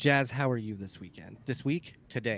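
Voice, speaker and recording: A man speaks with ordinary pitch variation. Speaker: podcast host. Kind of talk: casual sports podcast chat. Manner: animated, excited; casual, joking.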